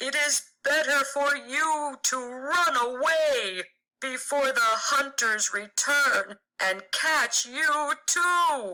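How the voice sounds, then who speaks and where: In a put-on character voice, the speaker uses a high pitch and a very slow pace. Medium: read story.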